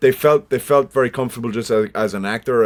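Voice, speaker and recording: A man speaks with a Cork accent at a fairly quick pace. The recording is very clean, with a silent background. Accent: Irish, Cork. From Ireland, Cork. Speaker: actor. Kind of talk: podcast interview. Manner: animated.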